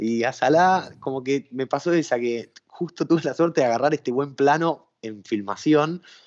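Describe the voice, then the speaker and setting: A man is speaking. He has a Rioplatense accent. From Argentina. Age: 30s. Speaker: sports journalist. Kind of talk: casual interview.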